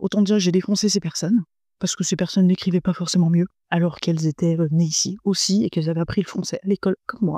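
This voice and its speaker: A woman talks very fast at medium pitch, her tone dark, mellow and somewhat breathy, her loudness very even. The recording is very clean with a silent background, and the sound is dry and close with no echo. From France. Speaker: podcast host, entrepreneur. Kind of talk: casual monologue podcast. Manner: animated.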